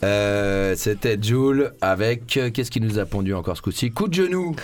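Fairly low in pitch, a man with an ordinary speaking voice talks at a fairly slow pace. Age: 30s. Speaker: radio host. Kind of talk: casual chat.

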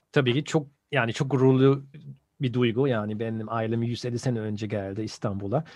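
With a German accent, a man speaks at a moderate pace and medium pitch, keeping his intonation fairly even. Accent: German-accented Turkish. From Germany (Bonn). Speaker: journalist. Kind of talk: casual interview.

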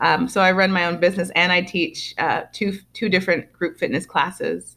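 A woman speaks in a plain, everyday voice at a medium pitch. Her pace is moderate. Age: 30s. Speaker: Enneagram coach and fitness instructor. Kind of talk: interview.

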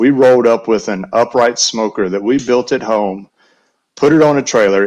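A man with a Southern US accent at a moderate pace, against a quiet background. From US South, Alabama Gulf Coast and Western North Carolina. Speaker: barbecue caterer. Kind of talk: casual chat.

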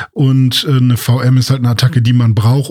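A man's medium-pitched, somewhat breathy voice at a fairly quick pace, flat and monotone in intonation. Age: 30s. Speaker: podcast co-host. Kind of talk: casual chat. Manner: hesitant with many fillers.

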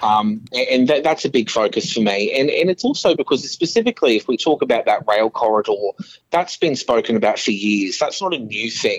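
There is noticeable background noise as a man talks with an Australian accent. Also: fairly quick pace. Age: 20s. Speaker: council candidate. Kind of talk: interview. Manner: halting, many fillers.

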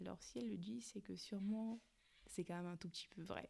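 This woman's voice is somewhat breathy, with a dark, mellow tone. Her intonation is lively. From Cameroon. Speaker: podcast host. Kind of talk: casual monologue.

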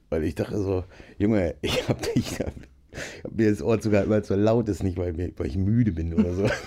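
A man speaks in a fairly low voice with a dark, mellow tone and ordinary pitch variation. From northern Germany, Nienburg (Lower Saxony). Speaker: musician and gamer. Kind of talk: casual chat. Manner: animated.

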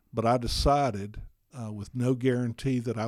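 A man's voice with an Alabama accent. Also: very clean recording, silent background. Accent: Southern US (Alabama). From US South, Alabama. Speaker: physician, former radio DJ. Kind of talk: interview testimony.

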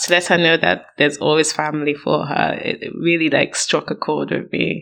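A woman with vocal fry. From Nigeria. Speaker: podcast guest co-reviewer. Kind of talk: casual chat.

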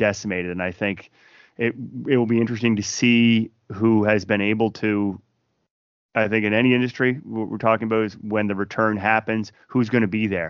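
A man with a Maritime Canadian accent speaks in a fairly low pitch with fairly even intonation. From Fredericton, New Brunswick, Canada. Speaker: singer-songwriter. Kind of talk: casual interview.

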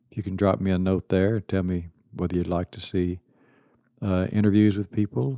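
A man's fairly low voice has a dark, mellow tone. The sound is dry and close with no echo, on a very clean recording with a silent background. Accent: East Texas. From Texas (Kilgore, East Texas). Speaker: podcast host. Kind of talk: podcast monologue. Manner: casual.

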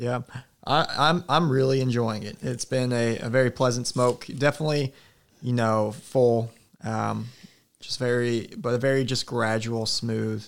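A man with an American accent and an unremarkable speaking voice, medium in pitch, at a moderate pace with fairly even intonation, in a very clean recording with a silent background. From Alaska and Oklahoma. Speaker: youth pastor. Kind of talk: casual chat.

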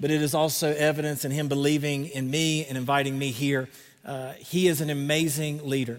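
With a Southern accent, a man speaks at a moderate pace in a fairly high pitch, his intonation fairly even. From North Carolina, Greenville. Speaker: pastor. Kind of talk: sermon. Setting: stage with audience.

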